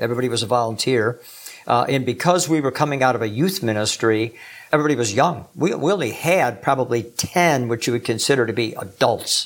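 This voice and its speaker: A plain, everyday voice belongs to this man, pitched in the middle range. His words come at a fairly quick pace. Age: 60s. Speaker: pastor and mentor. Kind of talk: interview conversation.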